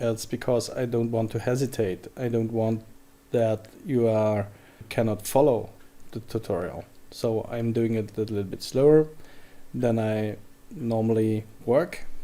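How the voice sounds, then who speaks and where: With a German accent, a man talks at a fairly slow pace with long, frequent pauses, his medium-pitched voice dark and mellow and his intonation fairly even. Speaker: software tutorial creator. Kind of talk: tutorial. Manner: halting.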